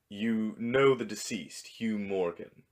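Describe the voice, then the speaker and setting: A man's put-on character voice at a medium pitch. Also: fairly slow pace. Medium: read story. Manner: dry, formal, deadpan.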